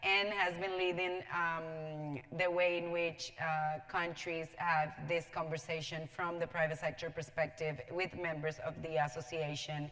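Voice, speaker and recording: A speaker with a Spanish accent talks at a fairly slow pace with fairly even intonation and hardly any pauses. Noticeable background noise and audible room echo fill the recording. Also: woman, very deep, low pitch for a woman. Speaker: panel moderator. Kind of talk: panel discussion introduction. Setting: large conference room with audience. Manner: hesitant, many fillers.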